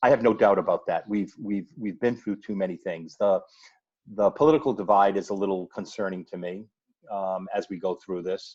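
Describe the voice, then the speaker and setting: A man talks with a fairly low pitch and ordinary pitch variation. His pace is moderate and the background quiet. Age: 60s. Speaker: media veteran, filmmaker and voiceover artist. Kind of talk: interview. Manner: halting, many repetitions.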